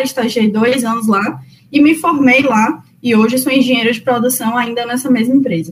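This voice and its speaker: High female voice, its pitch varying in an ordinary way. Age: 20s. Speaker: civil engineer. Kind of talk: interview. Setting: remote call.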